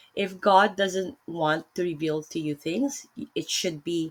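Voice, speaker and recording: With a Filipino accent, a woman speaks using ordinary pitch variation. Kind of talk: casual religious discussion. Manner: hesitant, many fillers and self-corrections.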